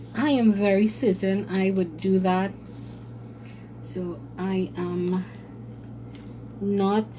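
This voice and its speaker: With long pauses coming often, a woman talks very slowly. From Trinidad and Tobago. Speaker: craft content creator. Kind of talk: casual chat. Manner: hesitant with fillers.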